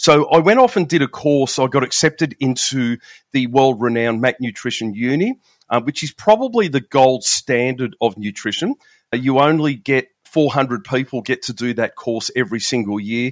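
A man with an Australian accent speaks at a moderate pace and medium pitch, with ordinary pitch variation. The background is quiet, and the sound is dry and close with no echo. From Melbourne, Australia. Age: 50s. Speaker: law enforcement veteran and shift work nutrition coach. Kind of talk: casual interview chat.

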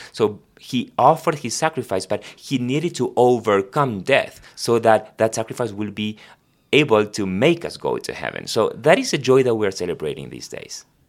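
In a very clean recording with a silent background, a man with a Spanish accent speaks at a moderate pace in a medium-pitched voice with lively intonation. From Argentina. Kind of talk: devotional conversation and prayer.

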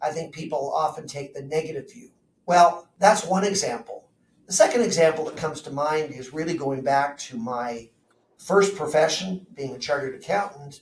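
With a normal speaking voice, a man talks at a moderate pace in a fairly high pitch, with ordinary pitch variation and big swings in loudness. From Southern Ontario, Canada. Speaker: chartered accountant and financial planner. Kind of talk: interview.

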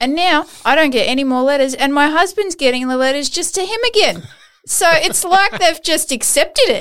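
Animated and lively in intonation, a woman with an Australian accent speaks at an extremely high pitch and a moderate pace. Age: 40s. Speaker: podcast host. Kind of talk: interview conversation.

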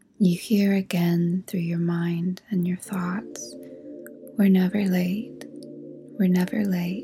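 Over noticeable background noise, a woman speaks very slowly with long, frequent pauses. Her medium pitch carries a gentle, calm tone and fairly even intonation. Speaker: podcast host and narrator. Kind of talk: guided meditation. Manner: slow, soothing, dreamy, hushed and unhurried with long pauses; gentle, calm, hypnotic.

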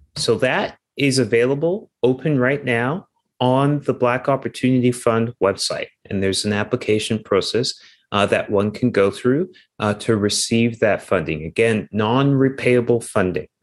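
With a Canadian accent and an unremarkable speaking voice, a man talks at a moderate pace and medium pitch, with ordinary pitch variation and very even loudness over a quiet background. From Canada, Toronto. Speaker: investment executive and charity co-founder. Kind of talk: interview.

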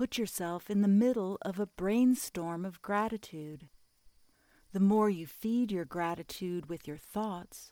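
A woman at a fairly slow pace, medium in pitch, with lively intonation, a soothing, calm tone, and a dark, mellow quality, in a very clean recording with a silent background. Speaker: meditation guide. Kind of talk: guided meditation. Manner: slow, soothing, calm and gently paced; soft-spoken, with long pauses between instructions.

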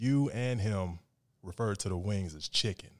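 With an American accent, a man speaks in an ordinary speaking voice at a fairly low pitch and a moderate pace, in a very clean recording with a silent background. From Phoenix, Arizona. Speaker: podcast co-host. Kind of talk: casual chat.

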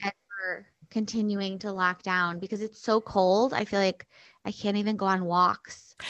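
A woman with an American accent speaks at a moderate pace in a monotone, flat delivery. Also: medium pitch for a woman. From US Midwest (Chicago). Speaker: stand-up comedian and podcast host. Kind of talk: casual chat.

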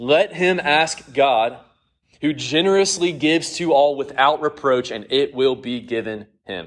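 A man talks in an unremarkable speaking voice. His pitch is fairly high, with lively intonation. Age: 30s. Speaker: Bible study teacher. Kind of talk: Bible study lesson.

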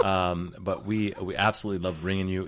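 Speaking at a moderate pace in a relaxed tone, a man has a very deep, low pitch. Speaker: podcast host, urologist. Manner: joking, relaxed.

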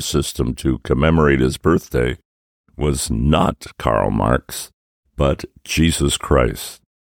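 The voice carries vocal fry and ordinary pitch variation. The sound is dry and close, with no echo. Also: man. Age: 80s+. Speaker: podcast host. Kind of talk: scripted dialogue.

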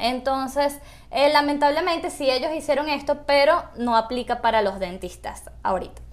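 A woman talks at a moderate pace with a high pitch and lively intonation. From Caracas, Venezuela. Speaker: dentist. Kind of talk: interview.

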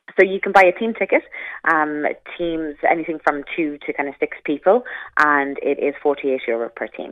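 A woman's very deep, low voice at a moderate pace, with ordinary pitch variation. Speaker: event company representative. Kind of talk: promotional explanation.

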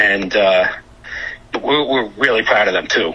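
A man speaks with a New York accent. Noticeable background noise sits behind him. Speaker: music entrepreneur. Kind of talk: casual interview chat.

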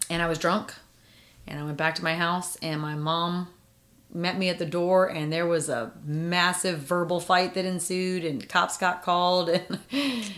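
At a moderate pace, a normal speaking voice is heard. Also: woman, fairly low pitch for a woman. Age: 40s. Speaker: mother interviewed about parenting. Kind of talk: casual interview.

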